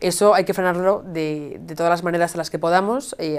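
A woman at a fairly low pitch, fairly quick pace and fairly even intonation. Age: 20s. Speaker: youth party leader, student. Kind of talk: political debate. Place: studio. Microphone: lapel.

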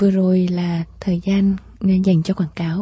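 A woman speaks in a somewhat breathy, warm voice with flat, monotone intonation, recorded dry with no echo. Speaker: radio host. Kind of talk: late-night radio call-in show; radio talk show hosting. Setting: studio. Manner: warm and polite. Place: studio.

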